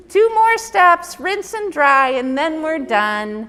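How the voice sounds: In a put-on character voice, a woman speaks at a very slow pace with an extremely high pitch, very wide pitch swings, and a gentle, soothing tone.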